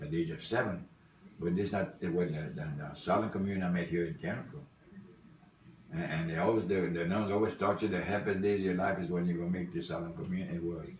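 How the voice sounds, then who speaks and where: A man with a very deep, low pitch talks at a very fast pace. Room echo is audible and background noise is noticeable. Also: fairly even intonation. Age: 70s. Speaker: grandfather interviewed for school project. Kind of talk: family interview. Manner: halting.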